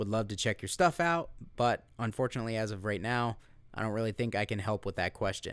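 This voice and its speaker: A man with an unremarkable speaking voice talks fairly quickly at a fairly low pitch, with ordinary pitch variation. The recording is very clean and the background silent. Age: 30s. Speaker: guitar gear YouTuber and metal guitarist. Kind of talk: live stream chat reading viewer comments. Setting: live stream. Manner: casual, laid-back.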